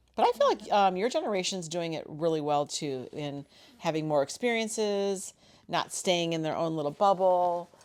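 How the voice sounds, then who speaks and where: A woman talks in a normal speaking voice, pitched fairly low. She keeps a moderate pace and ordinary pitch variation. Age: 50s. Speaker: mother of the co-host, flight attendant. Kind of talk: casual chat.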